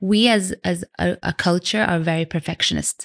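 A woman with an unremarkable speaking voice talks at medium pitch with ordinary pitch variation, the sound dry and close with no echo and the background quiet. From Canada, Vancouver. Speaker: food blogger and cookbook author. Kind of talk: interview conversation.

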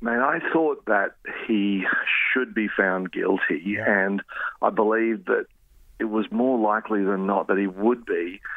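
A man talks at a fairly slow pace with an Australian accent. His loudness stays very even throughout. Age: 50s. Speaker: journalist. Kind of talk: interview.

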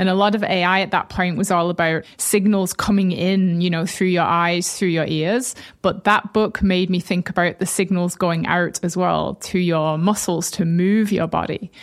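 A woman with a northern English accent speaks in a flat monotone at a moderate pace, her loudness very even and her words running on with hardly any pauses. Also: medium pitch for a woman. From northern England; Bolton. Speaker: tech company co-founder and CTO. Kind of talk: casual interview.

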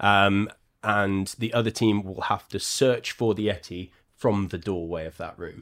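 The recording is very clean with a silent background, carrying a normal speaking voice. A man talks at a fairly slow pace and fairly low pitch with fairly even intonation. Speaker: board game cafe co-host. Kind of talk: casual chat.

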